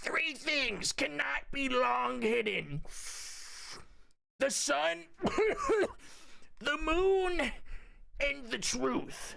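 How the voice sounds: A raspy, high-pitched put-on character voice speaks very slowly. Long, frequent pauses break up the lines.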